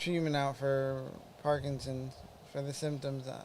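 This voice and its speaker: With a dark, mellow tone and a fairly high pitch, this man's voice carries audible room echo. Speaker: podcast host with Parkinson's, former EMT. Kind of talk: casual live-stream update. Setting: live stream. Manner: monotone; halting.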